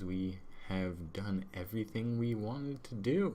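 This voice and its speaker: The speech moves at a very slow pace in a dark, mellow tone. There is audible room echo. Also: man. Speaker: gaming video creator. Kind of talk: gameplay commentary. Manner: monotone.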